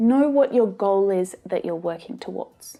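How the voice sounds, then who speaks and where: A woman with an Australian accent speaks in a dark, mellow tone, her pitch swinging very widely. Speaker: English teacher. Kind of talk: online tutorial.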